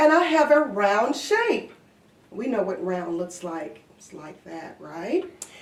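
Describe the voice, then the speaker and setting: Over noticeable background noise, a woman talks very slowly in a fairly high pitch with very wide pitch swings. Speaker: daycare director. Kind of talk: casual talk to children. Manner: warm, upbeat.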